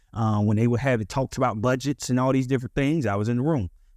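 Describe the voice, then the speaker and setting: A man talks with a Southern US accent at a medium pitch and ordinary pitch variation. The sound is dry and close, with no echo. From US South, Ocala, Central Florida. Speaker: podcast co-host. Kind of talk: casual chat.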